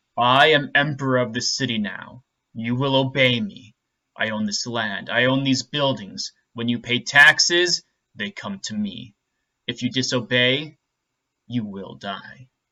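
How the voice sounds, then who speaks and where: Putting on a booming character voice, a man talks at a moderate pace and medium pitch with ordinary pitch variation. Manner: commanding.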